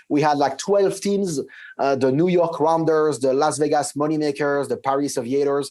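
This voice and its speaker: A man with a French accent speaks at a fairly high pitch for a man. His loudness stays very even and his intonation fairly even. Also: moderate pace. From France. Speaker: tech company CEO. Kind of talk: interview. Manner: halting, with many fillers and repeats.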